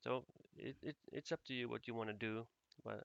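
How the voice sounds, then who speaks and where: Bright and sharp in tone, a man speaks at a moderate pace with a Finnish accent. The sound is dry and close, with no echo. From Finland. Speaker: game asset developer. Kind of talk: tutorial. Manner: halting.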